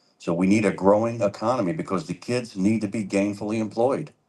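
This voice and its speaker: The background is quiet as a man talks at a fairly quick pace. He has a normal speaking voice, fairly low in pitch. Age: 60s. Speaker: political candidate. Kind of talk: town hall debate answer. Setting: public library town hall with audience.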